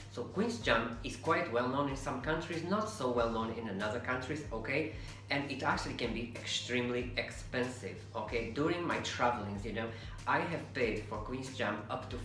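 Audible room echo and noticeable background noise accompany a man speaking at a moderate pace with ordinary pitch variation. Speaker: home cook vlogger. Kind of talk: casual cooking tutorial. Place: kitchen.

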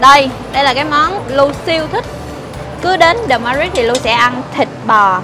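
A woman speaks in a raised, projected voice at a fairly slow pace. Clear music plays in the background. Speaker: food vlogger. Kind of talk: casual vlog chat. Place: shop.

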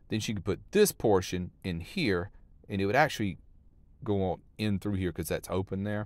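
In an ordinary speaking voice, a man speaks at a moderate pace with a fairly low pitch and fairly even intonation, the sound dry with no echo. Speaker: van life vlogger. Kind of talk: casual vlog chat. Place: open country. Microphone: phone near.

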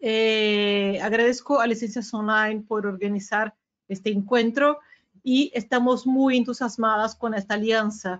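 A woman with a Brazilian accent, fairly high pitch, fairly even intonation and a fairly slow pace. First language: Portuguese (speaking Spanish). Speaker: regional sales director. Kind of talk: business webinar presentation. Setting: video call webinar. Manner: halting, many fillers. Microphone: video call.

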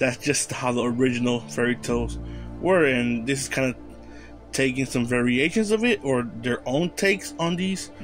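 A man at a moderate pace, very wide pitch swings, music in the background. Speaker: anime channel host. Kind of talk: casual vlog commentary.

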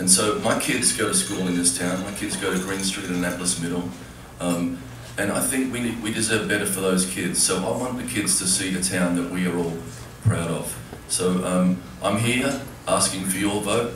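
With audible room echo and noticeable background noise, a man of very deep, low pitch speaks at a moderate pace with ordinary pitch variation. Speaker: candidate. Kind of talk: debate opening statement. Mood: nervous, earnest. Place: stage. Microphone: camera far.

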